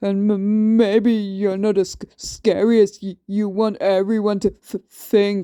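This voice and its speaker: Using a put-on character voice, the speaker holds a fairly high pitch in a monotone, flat intonation, moving at a fairly slow pace with hardly any pauses. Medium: read story. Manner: heavy stutter on word starts.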